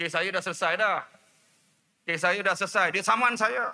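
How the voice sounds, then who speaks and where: A man's bright, sharp, raised and projected voice at a moderate pace, in a very clean recording with a silent background. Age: 50s. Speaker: politician. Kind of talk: political rally speech. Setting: outdoor rally with audience. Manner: animated.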